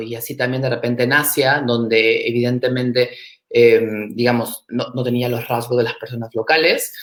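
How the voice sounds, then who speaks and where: Speaking at a moderate pace, a man with a medium pitch keeps his intonation flat and monotone. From Peru. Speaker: startup and innovation expert. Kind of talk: interview. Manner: hesitant, many fillers.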